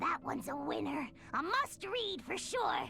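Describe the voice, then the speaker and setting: A put-on character voice speaks at a moderate pace over clear background noise. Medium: machinima. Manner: lively, bubbly.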